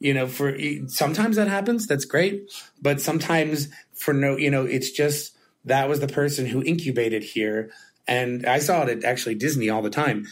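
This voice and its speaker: Fairly high-pitched for a man, he speaks in a normal speaking voice at a fairly quick pace with very even loudness. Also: lively intonation. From moved to New York as an adult. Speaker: podcast host, head of technology at an agency. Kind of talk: casual chat. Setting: office.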